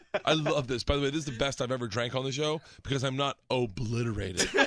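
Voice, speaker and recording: Very fast delivery with ordinary pitch variation against noticeable background noise. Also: man. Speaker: podcast host. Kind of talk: casual chat. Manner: stammering.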